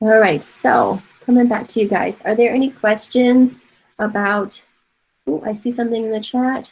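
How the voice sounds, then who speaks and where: A somewhat breathy, fairly high female voice with an American accent and ordinary pitch variation. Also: moderate pace. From Taiwan. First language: Mandarin Chinese. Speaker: art professor. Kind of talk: online class lecture. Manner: casual.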